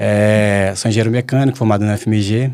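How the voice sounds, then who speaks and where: This man's tone is dark and mellow. He speaks at a fairly quick pace. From Minas Gerais, Belo Horizonte. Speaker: mining company executive. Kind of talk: panel podcast conversation.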